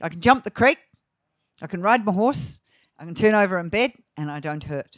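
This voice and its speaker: The voice makes very wide pitch swings at a fairly quick pace. The recording is very clean with a silent background and a dry, close sound with no echo. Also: woman. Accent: New Zealand. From New Zealand. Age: 60s. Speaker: grazing management educator. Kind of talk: conference talk. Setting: festival talk with live audience.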